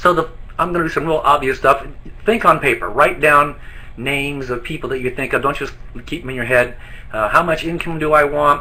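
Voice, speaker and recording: Against noticeable background noise, a man talks at a fairly quick pace with a fairly high pitch. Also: ordinary pitch variation. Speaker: network marketing distributor trainer. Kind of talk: training presentation. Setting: online webinar from an office. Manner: fast.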